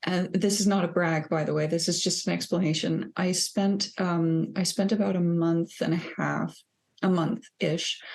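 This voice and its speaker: A somewhat breathy woman's voice, fairly low in pitch, with fairly even intonation and very even loudness. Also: moderate pace. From Denmark. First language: Danish. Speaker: psychologist, podcast co-host. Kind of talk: casual podcast chat.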